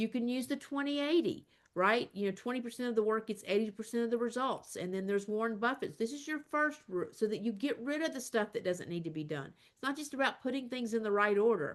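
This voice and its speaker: A woman's fairly high voice at a very fast pace, animated in tone, with lively intonation and hardly any pauses. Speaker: career coach. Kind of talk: webinar presentation. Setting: online video meeting.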